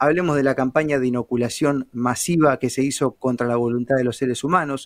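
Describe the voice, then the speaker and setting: In a very clean recording with a silent background, a man has an ordinary speaking voice with a dry, close sound and no echo. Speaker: journalist. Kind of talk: casual interview.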